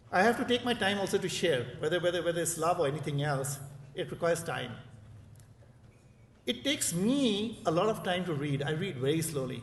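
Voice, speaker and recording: A man with an Indian accent speaks at a fairly quick pace in a high pitch with lively intonation, leaving long, frequent pauses, and audible room echo surrounds his voice. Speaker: professor. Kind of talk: conference speech. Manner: fast; repetitive, hesitant fillers.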